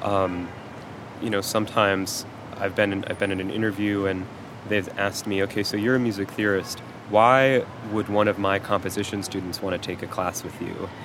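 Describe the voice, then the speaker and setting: A man speaks at a fairly quick pace with a fairly low pitch and monotone, flat intonation. Noticeable background noise is present. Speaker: music theory PhD candidate and instructor. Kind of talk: interview.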